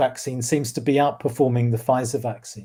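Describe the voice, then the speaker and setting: Speaking with a British accent, a man has a dark, mellow tone and fairly even intonation. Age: 60s. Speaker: cosmologist. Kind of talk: casual chat. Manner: halting, many fillers and repeats.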